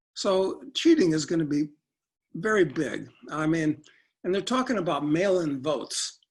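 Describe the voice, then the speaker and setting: Moderate pace with a Chicago accent. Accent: Chicago American. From US Midwest, Chicago. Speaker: political commentator guest. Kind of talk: interview discussion.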